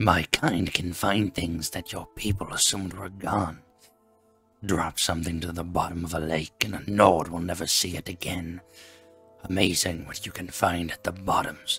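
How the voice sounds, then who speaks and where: A gruff put-on character voice from a man, very deep and low in pitch, with faint music in the background. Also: moderate pace. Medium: read story. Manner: gruff, snappish.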